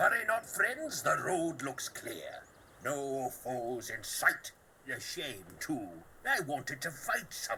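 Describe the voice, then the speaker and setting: Here a man uses a put-on character voice. It sits at a fairly high pitch and moves at a fairly slow pace. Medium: video game. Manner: joking, brash.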